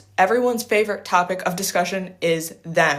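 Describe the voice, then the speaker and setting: A woman's normal speaking voice at a moderate pace, with ordinary pitch variation. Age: 20s. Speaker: livestreamer giving life and business advice. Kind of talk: casual livestream Q&A. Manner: casual, filler-heavy with self-corrections.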